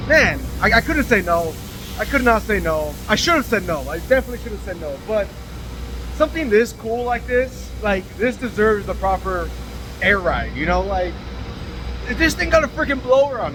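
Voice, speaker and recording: A man pauses often and at length while talking at a moderate pace, with noticeable background noise behind him. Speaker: custom car shop owner. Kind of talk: casual vlog talk. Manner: casual, hesitant with fillers.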